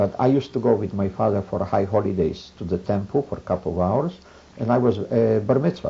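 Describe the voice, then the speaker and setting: The speaker talks very fast in a somewhat breathy voice. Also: man, fairly low pitch for a man, ordinary pitch variation. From Poland, Boryslaw. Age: 70s. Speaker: Holocaust survivor. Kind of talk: oral history interview. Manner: halting, with many fillers.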